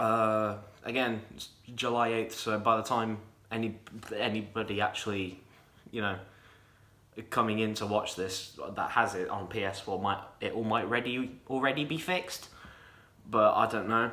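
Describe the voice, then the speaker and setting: Over audible room echo, a man with a medium-pitched, bright, sharp tone talks with long, frequent pauses. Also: moderate pace. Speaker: gaming youtuber. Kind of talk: casual game review. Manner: stuttering; animated.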